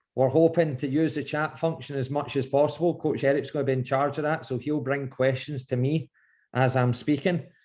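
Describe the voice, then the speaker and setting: Against a quiet background, a man with a Scottish accent speaks at a fairly quick pace, sounding somewhat breathy. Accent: Scottish, noticeable. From Scotland, Glasgow. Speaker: goalkeeping coach. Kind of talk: online coaching session. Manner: animated, speeds up when excited.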